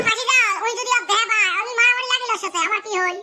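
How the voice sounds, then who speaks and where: Squeaky and extremely high, this cartoonish character voice races along at a very fast pace. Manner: loud, bickering.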